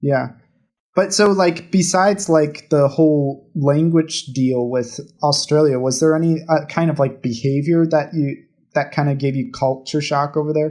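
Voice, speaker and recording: In a very clean recording with a silent background, a man with an American accent and a normal speaking voice talks at a moderate pace with a fairly high pitch and ordinary pitch variation. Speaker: podcast co-host. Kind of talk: casual chat.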